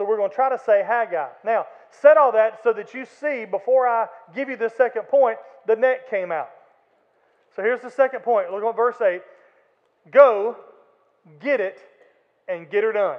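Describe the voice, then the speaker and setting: At a moderate pace with long, frequent pauses, a man with an Alabama accent speaks at an extremely high pitch, showing ordinary pitch variation and big swings in loudness. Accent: Southern US (Alabama). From Florala, Alabama (US South). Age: 50s. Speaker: pastor. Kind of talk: sermon. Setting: church. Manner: animated.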